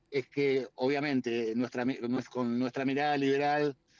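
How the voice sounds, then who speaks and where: With music in the background, a man at a fairly high pitch talks at a fairly slow pace. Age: 60s. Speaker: politician. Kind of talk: interview. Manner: hesitant, many fillers. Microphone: choppy connection.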